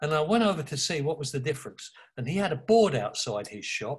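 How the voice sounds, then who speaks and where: A man with an East London accent speaks with lively intonation in a fairly high, somewhat breathy voice. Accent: East London (cockney). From East London, England. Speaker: author and advertising creative. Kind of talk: interview.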